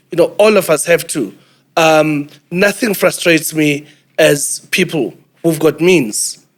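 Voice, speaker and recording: With a South African accent, a man speaks fairly slowly at a fairly high pitch, with ordinary pitch variation and long, frequent pauses. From South Africa, New Brighton, Port Elizabeth. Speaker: business executive. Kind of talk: panel discussion.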